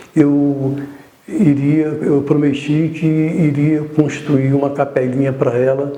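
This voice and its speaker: Over noticeable background noise and audible room echo, a man speaks very slowly in a monotone, flat intonation. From Brazil, Rio de Janeiro. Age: 60s. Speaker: artist, painter. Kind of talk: testimony. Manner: halting.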